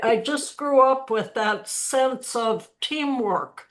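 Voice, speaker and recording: The recording is very clean with a silent background, carrying a woman who speaks with an American accent. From US Midwest, Minnesota. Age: 80s+. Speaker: retired university administrator. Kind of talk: panel discussion.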